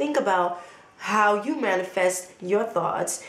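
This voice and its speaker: With lively intonation, a woman speaks amid noticeable background noise and audible room echo. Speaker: motivational vlogger. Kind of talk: motivational talk to camera. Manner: animated.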